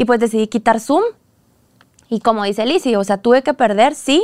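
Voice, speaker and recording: An unremarkable speaking voice from a woman, fairly high in pitch with ordinary pitch variation and a moderate pace, on a very clean recording with a silent background and a dry, close sound with no echo. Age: 20s. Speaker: dance academy founder and teacher. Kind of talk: casual interview chat.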